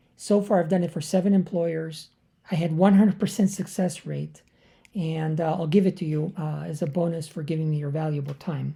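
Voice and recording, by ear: A woman's low, dark, mellow voice, raspy with vocal fry and a slightly husky edge, fairly even in intonation at a moderate pace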